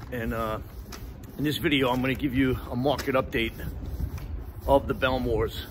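Moderate pacing, light background noise, and a dry sound without any echo. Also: man. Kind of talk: casual promotional vlog talk. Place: street. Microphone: phone near.

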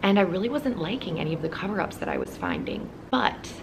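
A woman talks very fast while noticeable background noise carries on around her. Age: 20s. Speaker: fashion and lifestyle YouTuber; fashion vlogger. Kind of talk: casual vlog-style haul. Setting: hotel room on vacation. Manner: animated. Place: home room.

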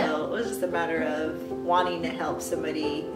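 A woman at a moderate pace, clear music in the background. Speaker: mother and surrogate. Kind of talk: interview answer. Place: home room.

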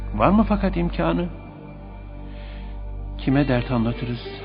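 Over music in the background, a man talks at a fairly slow pace. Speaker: radio presenter. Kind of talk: poetry reading. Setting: radio studio.

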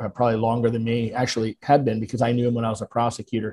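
A man speaks at a very fast pace in a monotone, flat intonation. His tone is dark and mellow, somewhat breathy, over light background noise. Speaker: podcast guest, lawyer. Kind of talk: interview answer. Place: home room. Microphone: video call.

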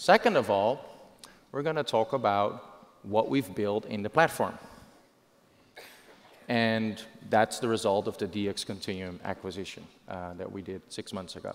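Ordinary pitch variation at a fairly slow pace, broken by long, frequent pauses. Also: man, fairly low pitch for a man. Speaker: presenter. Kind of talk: keynote presentation. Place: stage. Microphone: headset.

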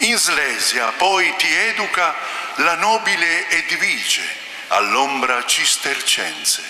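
Audible room echo fills the space. In it, a man talks at a very slow pace. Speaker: liturgical reader. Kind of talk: reading aloud. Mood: solemn, devotional. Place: church. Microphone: headset.

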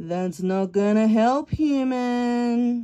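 Using a put-on character voice, she speaks at a fairly high pitch for a woman. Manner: dry, grumpy, curt.

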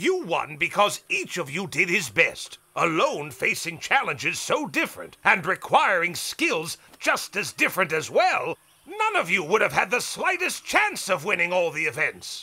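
In a cartoonish character voice, a man speaks fairly slowly with few pauses, high-pitched and bright, sharp in tone, with a slightly husky edge and very wide pitch swings.

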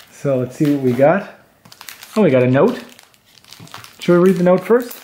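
A man's intonation is lively, with light noise in the background. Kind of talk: casual unboxing commentary. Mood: cheerful, pleased. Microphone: camera far.

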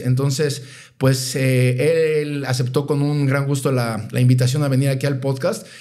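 The tone is dark and mellow, delivered at a moderate pace. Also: man. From Mexico. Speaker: podcast host. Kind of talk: casual interview.

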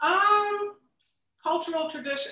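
Speaking with an American accent, a woman projects a raised voice at a fairly slow pace, her pitch swinging very widely. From Tampa, Florida. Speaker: cooking show host and producer. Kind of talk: interview. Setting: video call.

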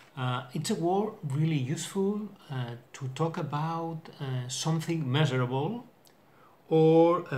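Somewhat breathy, the man's voice rides at a fairly high pitch. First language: not English. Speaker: English learner vlogger. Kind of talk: casual vocabulary video. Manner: halting, hesitant with many fillers. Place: home room. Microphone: webcam.

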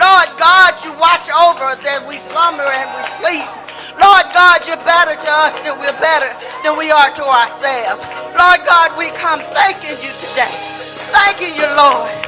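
Clear music plays in the background as the voice moves at a fairly slow pace. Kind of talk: spoken prayer. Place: church. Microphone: handheld.

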